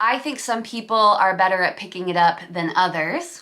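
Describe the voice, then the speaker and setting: In a plain, everyday voice of medium pitch, a woman speaks at a moderate pace with ordinary pitch variation. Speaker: YouTuber. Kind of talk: casual talk to camera.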